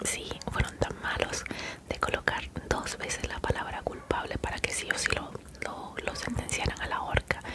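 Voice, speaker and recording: Amid loud background noise, a soft-spoken woman talks at a moderate pace. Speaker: home vlogger. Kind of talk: casual vlog chat, soft-spoken storytelling. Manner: soft close-mic ASMR speech. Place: home room. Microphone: studio mic.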